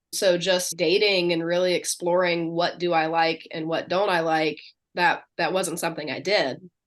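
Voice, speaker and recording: Against a quiet background, a woman speaks at a moderate pace with a fairly low pitch. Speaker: neurodivergent life coach. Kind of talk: casual chat. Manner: loud; animated.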